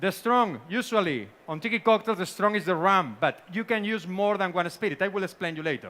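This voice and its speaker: Raised and projected, a bright, sharp voice with a Spanish accent moves at a fairly quick pace with hardly any pauses, on a very clean recording with a silent background. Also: man, high pitch for a man, ordinary pitch variation. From Spain. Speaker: bartender and tiki cocktail expert. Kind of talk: seminar presentation.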